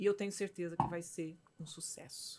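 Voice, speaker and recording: A woman talks at a fairly slow pace in a somewhat breathy voice, her fairly low pitch carrying a dark, mellow tone. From Minas Gerais, Brazil. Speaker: physician and mentor, show host. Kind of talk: casual chat.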